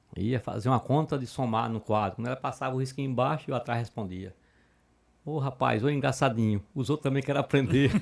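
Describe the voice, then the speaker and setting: On a very clean recording with a silent background, a man speaks in a northeastern Brazilian accent. His pitch is medium and his pace fairly quick. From Murici, Alagoas, Brazil. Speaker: judge. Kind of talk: interview answer.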